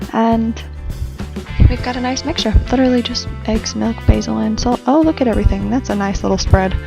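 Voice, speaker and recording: Music plays behind a woman who talks fairly quickly. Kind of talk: casual talk to camera, cooking voiceover. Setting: home recording, speaking quietly so a roommate could sleep.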